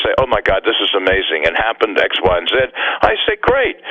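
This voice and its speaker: Over noticeable background noise, a man talks at a very fast pace in an American accent. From US, Virginia Beach. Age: 70s. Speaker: psychic medium. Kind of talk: radio interview.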